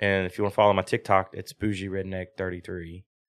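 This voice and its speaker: A fairly low-pitched man with a Southern US accent on a very clean recording with a silent background. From US South, southern Virginia. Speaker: drift mechanic and driver. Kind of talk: casual chat.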